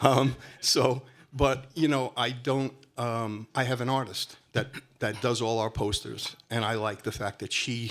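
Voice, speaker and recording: At a fairly slow pace, a man with a Brooklyn accent speaks at medium pitch with fairly even intonation. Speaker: music promoter. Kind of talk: panel discussion.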